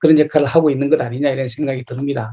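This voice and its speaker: A man's voice, dark and mellow in tone, with fairly even intonation. The sound is dry and close, with no echo. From South Korea, Gyeongnam. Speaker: lecturer, local politician. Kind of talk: lecture. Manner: hesitant, many filler sounds.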